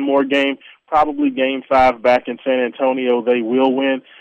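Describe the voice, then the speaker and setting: A man at medium pitch with monotone, flat intonation. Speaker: radio co-host, basketball analyst. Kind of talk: casual sports chat. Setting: phone call.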